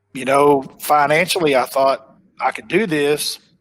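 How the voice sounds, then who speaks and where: Speaking at a fairly slow pace with a strong Oklahoma accent, a man uses a fairly high pitch and fairly even intonation. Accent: thick Oklahoma. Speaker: professional bass angler. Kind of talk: casual interview chat. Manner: conversational, with fillers and repetitions.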